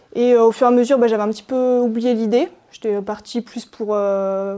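At a moderate pace, a woman speaks in a fairly high voice with a dark, mellow tone and ordinary pitch variation. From Savoie, French Alps. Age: 20s. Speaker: police mountain rescuer in training. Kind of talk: interview. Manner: hesitant with fillers.

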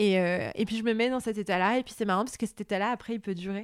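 In a very clean recording with a silent background and a dry, close sound free of echo, a woman speaks at a medium pitch with ordinary pitch variation in a plain, everyday voice. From Lebanon, Beirut. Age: 30s. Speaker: novelist. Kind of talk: interview. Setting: at home.

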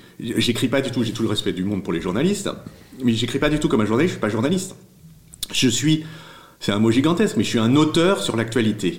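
The speech moves at a very fast pace with very wide pitch swings. Long pauses come often. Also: man, medium pitch for a man. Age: 50s. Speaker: newsletter founder and writer. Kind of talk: interview. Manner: halting, many repetitions.

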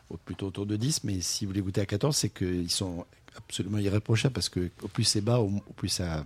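A somewhat breathy man with a fairly low pitch and ordinary pitch variation, talking at a fairly quick pace on a very clean recording with a silent background. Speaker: wine radio co-host. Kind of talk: casual radio chat.

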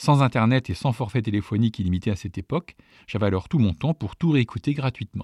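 The voice has a dark, mellow tone, somewhat breathy, delivered at a fairly quick pace. The sound is dry and close with no echo, on a very clean recording with a silent background. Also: man. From northern France, Château-Thierry area. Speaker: podcast host. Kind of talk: scripted narration.

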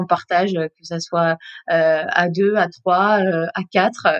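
The speaker is a woman with a medium pitch. The sound is dry and close, with no echo. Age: 20s. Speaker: early childhood educator, friend of expatriates. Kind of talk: interview. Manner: halting.

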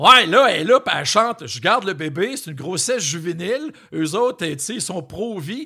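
A man with a Quebec accent, raised and projected, high in pitch and bright and sharp in tone, with very wide pitch swings and big swings in loudness. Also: moderate pace. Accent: Québécois French. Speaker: podcast host, former music TV journalist. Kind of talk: casual chat.

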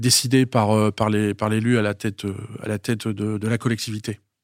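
A man is captured in a very clean recording where the background is silent. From Paris. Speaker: chief financial officer. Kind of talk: interview. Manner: halting.

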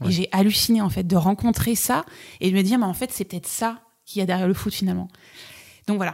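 A woman at a very fast pace with long, frequent pauses, medium pitch and fairly even intonation. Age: 40s. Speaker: wedding photographer. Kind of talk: casual chat. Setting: at the guest's home.

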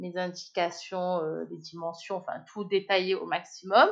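This woman speaks at a fairly slow pace with a medium pitch. Her intonation is fairly even. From Marseille, southern France. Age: 30s. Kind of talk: casual interview. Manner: hesitant, many fillers.

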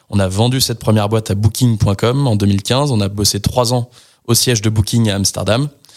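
The recording is very clean, with a silent background. A man speaks at a moderate pace with fairly even intonation and very even loudness. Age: 30s. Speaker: tech startup co-founder. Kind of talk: casual interview. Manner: hesitant with fillers.

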